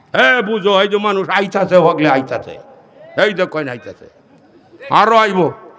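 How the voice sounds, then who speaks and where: Noticeable background noise runs under this man's high-pitched voice, whose pitch moves in an ordinary way. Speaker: Islamic preacher. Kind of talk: humorous sermon.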